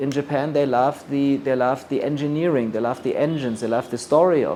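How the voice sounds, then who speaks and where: A man with a German accent, fairly high in pitch, at a fairly quick pace with fairly even intonation. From Germany. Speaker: luxury brand expert. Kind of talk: lecture.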